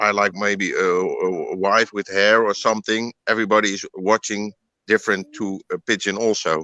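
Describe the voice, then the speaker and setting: With a Dutch accent, a man speaks at a moderate pace in a fairly low pitch, his tone bright and sharp, his intonation flat, the sound dry and close with no echo. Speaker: pigeon breeder. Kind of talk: interview. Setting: live online broadcast. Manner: halting.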